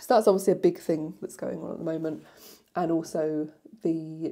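A woman speaks against a quiet background. Her fairly low voice has a dark, mellow tone and fairly even intonation. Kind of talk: casual vlog chat. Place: home room. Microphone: lapel.

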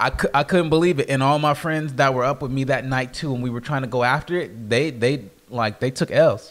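A man's unremarkable speaking voice at medium pitch and a fairly quick pace, with ordinary pitch variation, hardly any pauses and a very clean recording with a silent background. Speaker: sneaker podcast co-host and reseller. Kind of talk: casual chat. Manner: laughs often.

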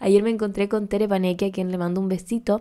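Her intonation stays monotone and flat. The woman speaks at a medium pitch. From Chile, Córdoba. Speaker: podcast host. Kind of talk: casual chat.

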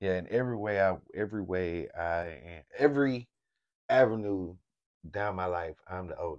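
This man's voice sits fairly low and carries an animated tone, with ordinary pitch variation and big swings in loudness. He talks at a moderate pace over a quiet background. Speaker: lifestyle vlogger. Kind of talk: casual chat.

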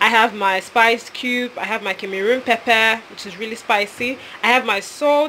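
A woman's fairly high voice with a Nigerian accent, fairly even intonation and big swings in loudness, over light background noise. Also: moderate pace. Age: 20s. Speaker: voice-over artist. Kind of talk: casual cooking vlog to camera. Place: kitchen. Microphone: phone near.

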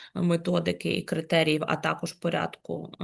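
A woman speaks at a moderate speed, and the background is quiet. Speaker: commission chair. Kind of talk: official meeting. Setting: video call. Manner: formal.

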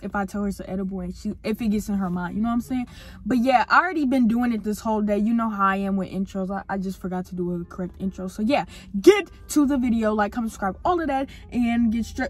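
A woman talks very fast with ordinary pitch variation, the sound dry with no echo and faint music playing in the background. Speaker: vlogger. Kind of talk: casual vlog chat. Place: car. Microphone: phone near.

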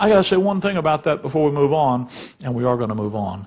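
Fairly high in pitch and somewhat breathy, this man talks at a fairly quick pace. His voice makes very wide pitch swings. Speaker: Bible teacher, preacher. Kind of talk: sermon, preaching to a congregation. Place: church. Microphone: podium.

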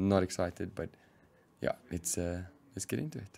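A man's very deep, low voice with ordinary pitch variation. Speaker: gaming youtuber. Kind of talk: let's play commentary. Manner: animated. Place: home room.

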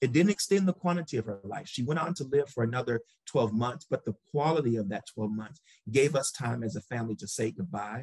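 A somewhat breathy man with an American accent and lively intonation, talking at a fairly quick pace over a quiet background, with a dry sound and no echo. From Michigan, US Midwest. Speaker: medical researcher, research program head; panelist. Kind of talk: panel discussion. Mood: earnest, personal. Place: home room. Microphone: webcam.

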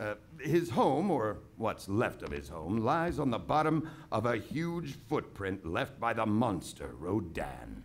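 A man's voice with vocal fry, very wide pitch swings and a very slow pace. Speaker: storyteller. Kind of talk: reading aloud. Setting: stage with live audience. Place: stage. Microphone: studio mic.

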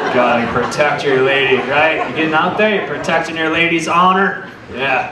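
A man at a fairly high pitch with ordinary pitch variation and a moderate pace, over noticeable background noise. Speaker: stand-up comedian. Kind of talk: stand-up comedy. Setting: stage with audience. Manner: animated, irreverent. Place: stage. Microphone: handheld.

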